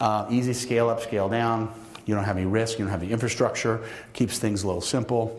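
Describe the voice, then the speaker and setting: At a very fast pace, a man talks in a monotone, flat intonation with audible room echo. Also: medium pitch for a man. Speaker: keynote speaker, manufacturing company owner. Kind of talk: conference keynote talk. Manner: halting, many restarts.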